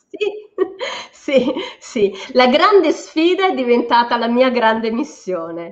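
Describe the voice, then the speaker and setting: Speaking at a very slow pace, a woman uses a high voice with very wide pitch swings. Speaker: psychologist and energy psychology practitioner. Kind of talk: interview. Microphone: dropping connection.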